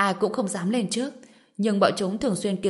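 The pitch varies in an ordinary way as the speaker is reading aloud in a natural voice.

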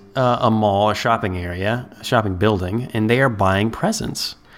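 A man with a plain, everyday voice and a medium pitch speaks at a moderate pace with an American accent. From Ohio, US Midwest. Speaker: podcast host. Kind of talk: casual chat.

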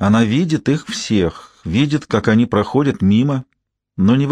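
The voice is a natural reading voice. Nothing much stirs in the quiet background.

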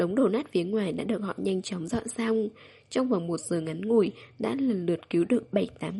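Plain reading aloud, its pitch varying in an ordinary way, is what the clip holds.

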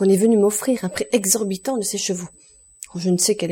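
Natural-voiced reading aloud.

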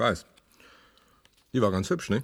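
A man uses a put-on character voice, fairly low in pitch with a slightly husky edge and a fairly bright tone. He moves at a fairly slow pace with lively intonation.

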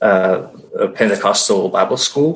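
A man with a Finnish accent at a very slow pace. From Finland. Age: 30s. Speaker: church member sharing testimony. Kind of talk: testimony. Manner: halting.

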